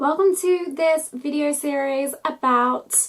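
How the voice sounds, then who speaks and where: A woman at a very slow pace, ordinary pitch variation, music playing in the background. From Australia, Melbourne. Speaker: vlogger. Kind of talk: casual vlog talk.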